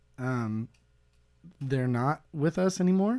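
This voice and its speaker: Heard on a very clean recording with a silent background, a man with an American accent uses a plain, everyday voice and ordinary pitch variation. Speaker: guest, former college radio host. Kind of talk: casual comedy chat. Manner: jokey, playful.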